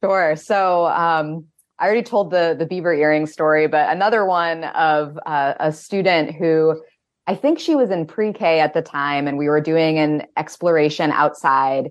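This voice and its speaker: A woman with an American accent and a very deep, low pitch speaks at a moderate pace with very even loudness. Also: ordinary pitch variation. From Maine, US (Winterport). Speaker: outdoor educator. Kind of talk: radio interview. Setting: remote call into a virtual radio studio.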